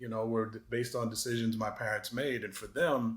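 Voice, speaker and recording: Here a man speaks with a slight Boston accent. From Massachusetts, Boston area. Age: 50s. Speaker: anti-racism advocate. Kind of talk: interview. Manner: hesitant, many fillers.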